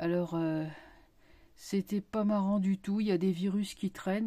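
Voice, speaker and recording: With ordinary pitch variation and a moderate pace, this somewhat breathy voice carries a dark, mellow tone. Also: woman. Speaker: tarot reader and YouTuber. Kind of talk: casual vlog monologue. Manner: hesitant, many fillers.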